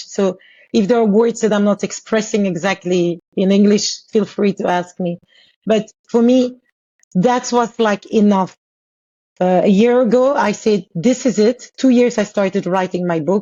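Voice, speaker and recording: A woman speaks at a medium pitch and a moderate pace, with ordinary pitch variation. She takes long, frequent pauses. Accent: French. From Congo. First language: French. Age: 40s. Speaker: author and abuse survivor. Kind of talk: podcast interview, personal testimony.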